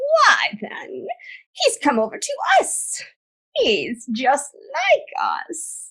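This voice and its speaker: This put-on character voice is extremely high-pitched, with very wide pitch swings. The pace is very slow. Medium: audio drama.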